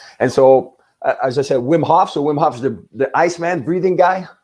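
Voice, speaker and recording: A man's dark, mellow voice with vocal fry, lively intonation and a fairly quick pace. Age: 60s. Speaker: business mindset coach. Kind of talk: podcast interview.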